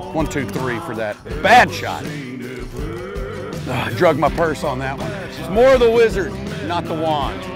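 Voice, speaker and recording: Clear music plays behind a man speaking at a fairly slow pace with long, frequent pauses. The sound is dry with no echo. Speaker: singer-songwriter. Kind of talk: casual banter on golf outing. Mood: playful, joking boastful. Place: open country.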